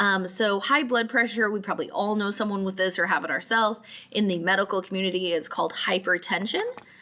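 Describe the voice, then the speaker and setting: Noticeable background noise sits behind a woman talking at a very fast pace with a medium pitch and ordinary pitch variation. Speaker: instructor. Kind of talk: lecture. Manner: hesitant with many fillers.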